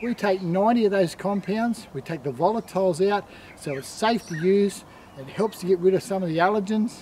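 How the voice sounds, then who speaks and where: Over light background noise, a man with a high pitch talks at a moderate pace with ordinary pitch variation. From Australia. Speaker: product presenter; presenter. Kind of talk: sales pitch. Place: garden.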